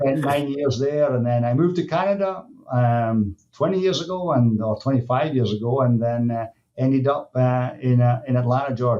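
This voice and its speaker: A medium-pitched man with a Scottish accent speaks at a moderate pace, with ordinary pitch variation and very even loudness. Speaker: dairy nutrition industry executive. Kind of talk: podcast interview. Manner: halting, many fillers.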